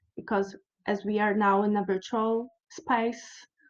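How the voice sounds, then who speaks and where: A woman with a Brazilian Portuguese accent, fairly high-pitched, at a very slow pace. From Brazil, Curitiba. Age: 30s. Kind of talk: conference presentation. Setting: virtual conference. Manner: halting.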